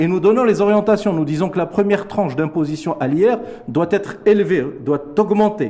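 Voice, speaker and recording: A man speaks at a high pitch with lively intonation and a moderate pace. Noticeable background noise is present. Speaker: economist. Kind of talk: TV interview. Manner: formal.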